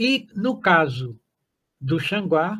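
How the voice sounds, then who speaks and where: This man's voice sits high in pitch. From Brazil, Zona da Mata of Minas Gerais (Guiricema). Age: 80s+. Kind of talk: testimony. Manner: halting, many fillers and restarts.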